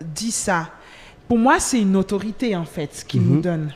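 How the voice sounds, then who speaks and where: A woman's voice swings very widely in pitch. Noticeable background noise is present. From Switzerland (Geneva), Nigerian-Angolan family. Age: 20s. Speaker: trainee lawyer and worship singer. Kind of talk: casual chat.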